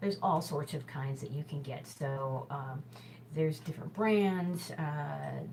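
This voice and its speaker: A woman with an American accent, very deep and low in pitch, at a fairly slow pace with ordinary pitch variation, over noticeable background noise. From US Midwest, Chicago. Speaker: hula hoop instructor and show host. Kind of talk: casual tutorial talk. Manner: chatty, full of fillers.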